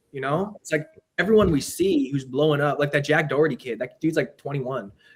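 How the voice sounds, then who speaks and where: A man talks at a very fast pace with a fairly high pitch. His voice is somewhat breathy, with ordinary pitch variation. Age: 20s. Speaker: boxing enthusiast and content creator. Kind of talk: casual chat.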